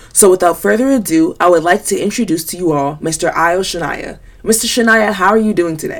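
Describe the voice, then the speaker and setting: Against noticeable background noise, a woman with an American accent speaks at a fairly quick pace with hardly any pauses, her medium pitch varying in an ordinary way. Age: young. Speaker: podcast host. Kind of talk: podcast intro; interview.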